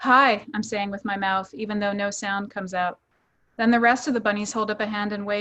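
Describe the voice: Plain reading aloud with fairly even intonation, over a quiet background.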